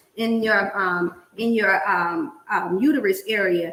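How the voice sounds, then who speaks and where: A woman speaks at a fairly high pitch with ordinary pitch variation. Noticeable background noise runs under her voice. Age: 50s. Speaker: cooking show host. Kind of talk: casual chat. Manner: animated.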